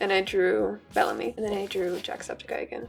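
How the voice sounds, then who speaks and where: Music sounds in the background. Meanwhile, a woman talks at a moderate pace. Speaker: art YouTuber. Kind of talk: casual sketchbook tour. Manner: hesitant, many fillers.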